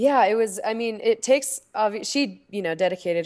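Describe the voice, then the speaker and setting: A woman talks at a fairly quick pace with lively intonation. She has an American accent. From Utah, US. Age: 20s. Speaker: professional skier. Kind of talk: casual chat. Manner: relaxed.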